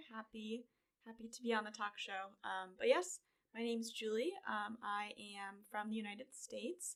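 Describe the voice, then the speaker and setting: A woman with a fairly high voice and an American accent speaks with big swings in loudness. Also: ordinary pitch variation, moderate pace. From US, upstate New York (Cazenovia, near Syracuse). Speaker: recent graduate, environmental policy. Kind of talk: interview conversation.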